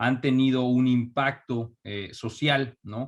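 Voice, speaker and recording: Here a man speaks with a Mexico City accent. His intonation is monotone and flat. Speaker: entrepreneur. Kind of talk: interview. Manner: halting, many fillers.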